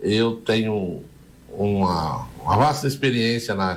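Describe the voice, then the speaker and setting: Audible room echo surrounds a man speaking very slowly at a medium pitch with ordinary pitch variation. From Brazil, Fernandópolis, São Paulo state interior. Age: 70s. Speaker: mayoral candidate, former mayor. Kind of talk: radio interview.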